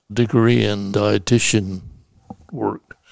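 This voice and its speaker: A man speaks at a very slow pace. His fairly low pitch shows ordinary pitch variation. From US Central Valley, California. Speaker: retired judge. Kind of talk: interview recounting life story. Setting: recorded at his home.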